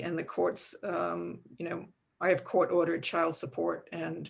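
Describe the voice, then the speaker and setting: A fairly slowly speaking woman. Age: 60s. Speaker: nonprofit founder and parent caregiver. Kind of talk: panel discussion. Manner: halting, many fillers.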